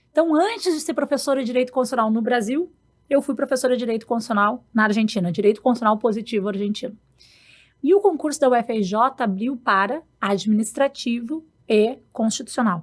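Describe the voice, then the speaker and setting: A woman's high voice in a southern Brazilian accent, very fast and with lively intonation. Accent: gaúcho. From Rio Grande do Sul, Brazil. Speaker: law professor. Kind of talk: podcast interview.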